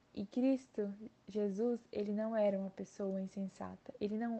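Her tone dark and mellow, a woman speaks at medium pitch and a fairly slow pace with fairly even intonation. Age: 20s. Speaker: university student. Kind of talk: Bible study discussion.

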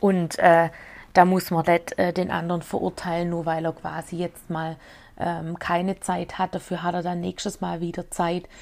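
A woman with a fairly low pitch, in a flat monotone at a moderate pace, on a very clean recording with a silent background. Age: 30s. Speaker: podcaster and amateur poet. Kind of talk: casual monologue. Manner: hesitant, many filler sounds.

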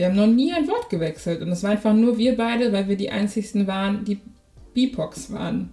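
An unremarkable speaking voice moves at a fairly quick pace. Its pitch varies an ordinary amount. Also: woman. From Germany. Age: 20s. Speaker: podcaster. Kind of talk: casual chat.

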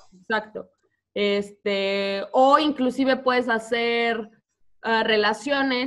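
A woman speaks at a very slow pace. Her pitch is fairly high and her intonation fairly even. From Mexico. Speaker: teacher. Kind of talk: casual interview. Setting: video call.

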